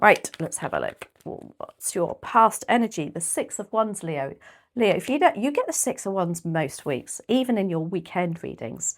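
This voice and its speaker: A woman with a medium-pitched voice and vocal fry talks at a moderate pace, her pitch swinging very widely. The recording is very clean, with a silent background. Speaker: tarot reader. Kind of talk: tarot reading. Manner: casual, chatty.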